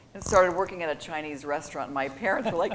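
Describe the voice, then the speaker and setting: A woman speaks with an American accent. Room echo can be heard. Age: 60s. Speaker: sports executive. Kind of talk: interview. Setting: stage with audience.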